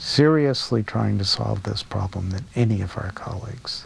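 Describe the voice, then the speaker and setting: Against noticeable background noise, a man talks at a moderate pace, his fairly low pitch showing ordinary variation. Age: 60s. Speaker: physicist. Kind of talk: interview.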